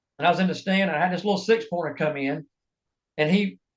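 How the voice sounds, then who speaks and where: This man has an American accent and a high pitch. He speaks at a fairly quick pace. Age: 60s. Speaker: bow hunter, hunting industry worker. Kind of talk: casual chat.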